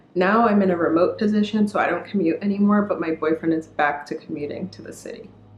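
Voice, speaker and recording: Very fast delivery, fairly even intonation, and noticeable background noise. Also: woman. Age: 20s. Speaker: YouTuber. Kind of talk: casual vlog talk.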